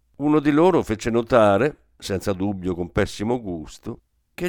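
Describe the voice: The background stays quiet. Over it comes plain reading aloud with lively intonation.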